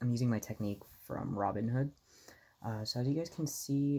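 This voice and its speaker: A soft-spoken voice moves along at a moderate pace. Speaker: amateur stock trader vlogger. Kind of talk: casual vlog talk. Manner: halting, many fillers.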